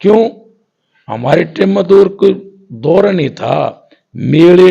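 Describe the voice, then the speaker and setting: A man with a high pitch speaks in a dark, mellow tone. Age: 70s. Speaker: folk ragni singer. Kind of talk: interview.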